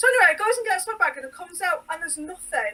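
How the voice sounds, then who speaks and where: A woman's raised, projected voice with a bright, sharp tone, an English accent and very wide pitch swings. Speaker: sewing designer. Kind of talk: casual podcast chat.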